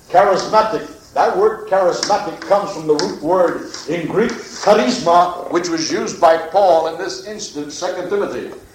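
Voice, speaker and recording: A moderate pace with hardly any pauses, ordinary pitch variation and an American accent, amid noticeable background noise and audible room echo. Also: man, high pitch for a man. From Pennsylvania, US. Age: 50s. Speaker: former priest, preacher. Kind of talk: testimony and scripture lecture.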